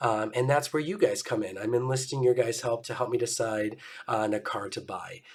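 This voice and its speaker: A man's moderately paced, somewhat breathy voice at a medium pitch, with ordinary pitch variation. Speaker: car vlogger. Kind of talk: casual vlog. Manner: casual, hesitant with fillers.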